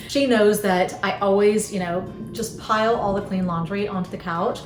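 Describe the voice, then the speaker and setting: Against noticeable background noise and audible room echo, a woman speaks at a medium pitch with a Southern US accent. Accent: Southern American. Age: 50s. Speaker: lifestyle vlogger. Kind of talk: casual chat.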